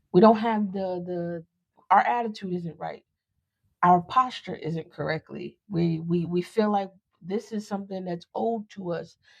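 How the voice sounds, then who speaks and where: At a fairly slow pace, a woman with a normal speaking voice talks in a medium pitch, with ordinary pitch variation and big swings in loudness. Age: 30s. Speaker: podcast host. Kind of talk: personal storytelling podcast monologue. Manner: casual, conversational.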